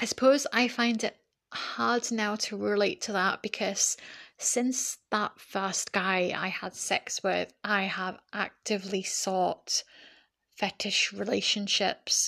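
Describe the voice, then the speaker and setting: Speaking very slowly, a woman of medium pitch has a bright, sharp tone with vocal fry. Her intonation remains fairly even. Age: 30s. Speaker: podcast host. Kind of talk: personal monologue. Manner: hesitant with many fillers.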